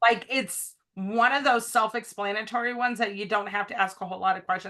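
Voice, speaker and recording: Against a quiet background, a woman speaks at a fairly quick pace. Her fairly high voice is bright and sharp, with ordinary pitch variation. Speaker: direct sales consultant. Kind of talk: casual chat. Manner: fast.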